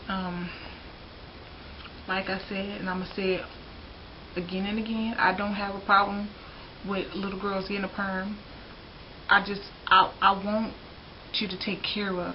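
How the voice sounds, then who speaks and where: A woman with a Southern US accent talks at a medium pitch in a monotone, flat intonation, her loudness swinging widely, with long, frequent pauses and noticeable background noise. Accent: Southern US drawl. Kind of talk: casual talk to camera. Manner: frank, opinionated.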